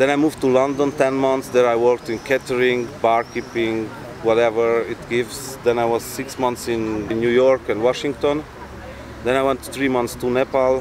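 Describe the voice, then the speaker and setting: Over noticeable background noise, a man with a non-native accent talks at a moderate pace in a medium pitch, his intonation monotone and flat. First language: not English. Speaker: traveler. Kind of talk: talk to audience. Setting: live event with audience.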